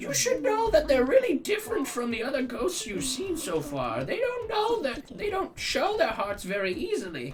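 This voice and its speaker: A put-on character voice goes at a moderate pace over clear background noise. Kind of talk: game dialogue read aloud in a put-on voice. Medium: game stream.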